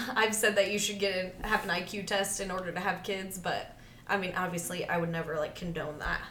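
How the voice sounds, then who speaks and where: Over noticeable background noise, a woman speaks fairly quickly at medium pitch in a monotone, flat intonation. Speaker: podcast host. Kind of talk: casual chat.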